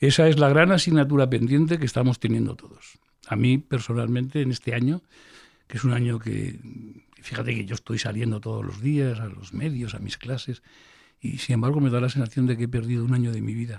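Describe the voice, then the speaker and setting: Recorded very cleanly against a silent background, a man with a medium-pitched, somewhat breathy voice speaks at a fairly quick pace. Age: 60s. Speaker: physician and health education professor. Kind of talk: interview. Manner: animated.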